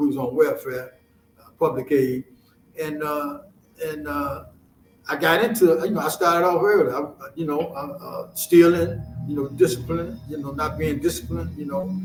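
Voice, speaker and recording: Against music in the background and audible room echo, a man with a fairly high pitch talks at a moderate pace with ordinary pitch variation, big swings in loudness and long, frequent pauses. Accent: American. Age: 70s. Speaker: author. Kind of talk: interview. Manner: halting, many repetitions.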